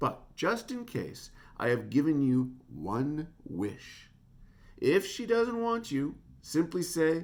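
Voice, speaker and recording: A man does a booming, put-on character voice at a fairly high pitch. It crawls at a very slow pace with very wide pitch swings. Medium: read story.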